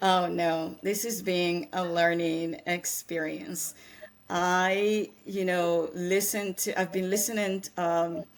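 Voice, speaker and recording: Speaking at a very slow pace, a woman with a Spanish accent keeps a fairly low pitch and fairly even intonation. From Panama. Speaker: angel investor and scientist. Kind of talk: interview.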